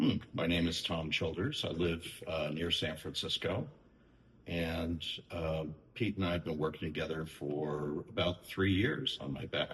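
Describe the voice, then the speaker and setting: A man speaks at a fairly slow pace in a very deep, low pitch. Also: ordinary pitch variation. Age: 60s. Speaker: tattoo client. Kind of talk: interview.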